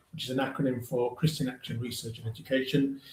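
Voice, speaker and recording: A man with a Welsh accent and ordinary pitch variation. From South West Wales, Llanelli. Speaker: charity leader. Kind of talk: panel discussion.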